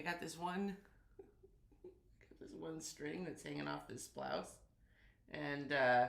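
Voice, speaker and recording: A woman speaks at a fairly slow pace with long, frequent pauses and big swings in loudness, with audible room echo. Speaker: quilting youtuber. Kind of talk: casual live stream chat. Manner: animated.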